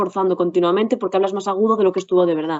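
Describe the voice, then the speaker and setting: Medium pitch for a woman, with ordinary pitch variation. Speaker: actress. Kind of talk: interview. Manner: fast; careful articulation.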